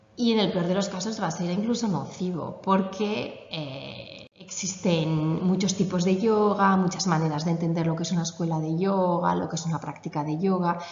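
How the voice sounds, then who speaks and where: With fairly even intonation, a woman speaks at a moderate pace amid audible room echo and noticeable background noise. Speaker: yoga teacher. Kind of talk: conference talk.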